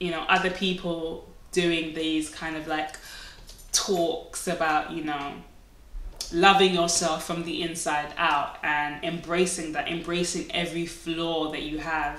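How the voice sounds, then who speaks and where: A woman with a fairly low voice speaks in a monotone, flat intonation amid noticeable background noise and audible room echo. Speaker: beauty vlogger. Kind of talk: casual monologue to camera.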